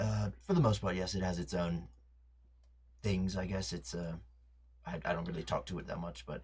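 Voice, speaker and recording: Using a put-on character voice, a man speaks with a raspy, very deep, low pitch, lively intonation, a moderate pace and long, frequent pauses. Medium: actual play. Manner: hesitant, rambling.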